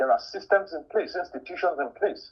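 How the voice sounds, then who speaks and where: A man with a strong Nigerian accent at a moderate pace. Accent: thick Nigerian. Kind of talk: testimony.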